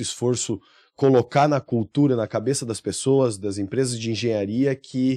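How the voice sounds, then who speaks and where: A man's medium-pitched voice, dark and mellow in tone, at a fairly slow pace with ordinary pitch variation, against a quiet background. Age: 30s. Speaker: recycling plant owner and civil engineer. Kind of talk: podcast interview. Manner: hesitant, many fillers.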